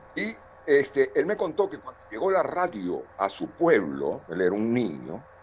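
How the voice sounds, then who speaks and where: With noticeable noise behind him, a man speaks at a fairly slow pace. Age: 60s. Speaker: television director and university lecturer. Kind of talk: participant comment in online seminar.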